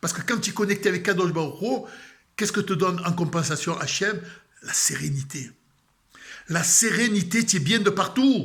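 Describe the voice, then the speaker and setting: Big swings in loudness mark a man's high voice as he speaks at a moderate pace with long, frequent pauses. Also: ordinary pitch variation. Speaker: religious video blogger. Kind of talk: spiritual talk. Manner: calm.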